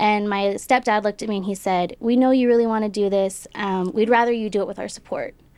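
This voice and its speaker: A woman with an American accent talks at a very fast pace with hardly any pauses. Her pitch is fairly high and her intonation fairly even. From Del Rio, Texas (ranch near the border). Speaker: policy think-tank staffer, Marine veteran. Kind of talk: casual interview.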